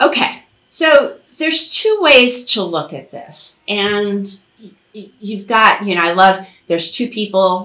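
With audible room echo, a woman speaks slowly in a fairly bright tone with lively intonation. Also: medium pitch for a woman.

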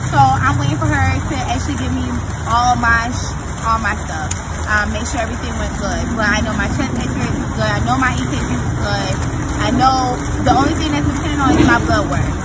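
The speech moves at a fairly quick pace over loud background noise. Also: woman. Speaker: vlogger. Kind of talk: casual vlog chat. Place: street. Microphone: phone near.

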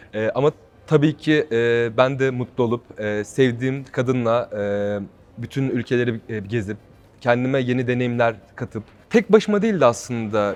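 At a medium pitch, a man talks at a moderate pace with ordinary pitch variation. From Turkey, Ankara. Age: 20s. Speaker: reality show contestant, model and singer. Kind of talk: interview. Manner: hesitant with frequent fillers.

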